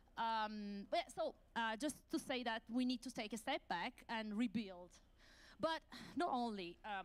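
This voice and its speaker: A woman speaks at a moderate pace in a high pitch, with lively intonation. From Italy. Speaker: academic researcher. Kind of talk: conference talk. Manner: halting, many fillers.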